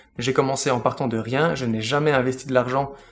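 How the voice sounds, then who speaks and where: Over faint music in the background, a man talks at a fairly quick pace with medium pitch and fairly even intonation. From Belgium. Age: 30s. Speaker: finance YouTuber. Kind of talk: casual Q&A monologue to camera. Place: home room.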